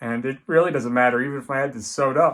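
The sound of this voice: A man at medium pitch and a fast pace, with a fairly bright tone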